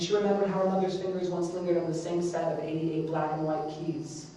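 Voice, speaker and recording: A very fast pace over noticeable background noise. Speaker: spoken word poet. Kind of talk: spoken word performance.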